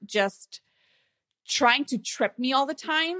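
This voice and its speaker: In a very clean recording with a silent background, a woman with a Slovene accent talks at a fairly slow pace with ordinary pitch variation. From Slovenia. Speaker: online marketing consultant and course creator. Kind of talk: interview.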